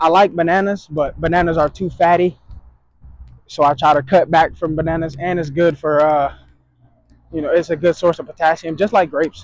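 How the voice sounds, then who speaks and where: Though he talks at a fairly quick pace, a man with a high pitch leaves long, frequent pauses. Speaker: vlogger. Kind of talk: casual vlog monologue. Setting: outdoors, walking to store. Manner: careful, proper enunciation; halting, stumbling on words.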